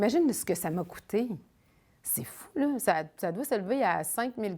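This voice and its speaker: The voice carries a dark, mellow tone and a Quebec accent, with very wide pitch swings at a moderate pace. The recording is very clean, with a silent background. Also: woman, medium pitch for a woman. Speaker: traveler. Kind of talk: interview testimony. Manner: casual.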